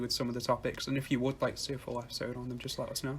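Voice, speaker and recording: A man in a northern English accent, medium pitch, somewhat breathy, monotone and flat, at a very fast pace. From northwest England. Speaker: music podcast co-host. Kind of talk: casual chat.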